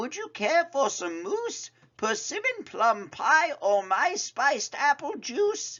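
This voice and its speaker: A put-on character voice speaks in a high pitch at a fairly slow pace. The pitch swings very widely. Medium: read story.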